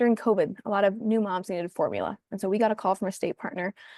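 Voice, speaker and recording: Against a quiet background with a dry, close sound and no echo, a woman with a dark, mellow tone talks at a very fast pace in fairly even intonation. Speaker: community services presenter. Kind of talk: presentation on video call. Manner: hesitant fillers (um, uh).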